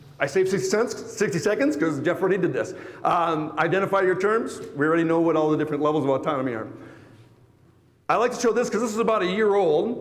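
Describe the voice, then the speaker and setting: A high-pitched man talks at a very fast pace with lively intonation. The room echo can be heard. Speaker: automotive industry executive. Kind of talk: conference presentation. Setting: stage with audience. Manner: animated.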